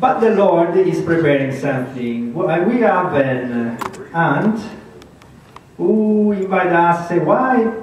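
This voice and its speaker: A man with a slight Italian accent speaks very slowly at a high pitch, swinging very widely. Noticeable background noise and audible room echo fill the recording. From Italy. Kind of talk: testimony. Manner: halting.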